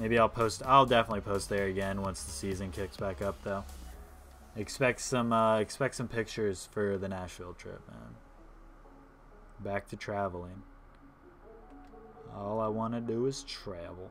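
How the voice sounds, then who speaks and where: Music plays in the background as a man with an American accent speaks at a fairly low pitch with ordinary pitch variation. He leaves long, frequent pauses, and his loudness swings widely. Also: moderate pace. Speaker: gaming streamer. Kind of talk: casual gaming live stream commentary. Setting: live stream. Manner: casual, hesitant with fillers.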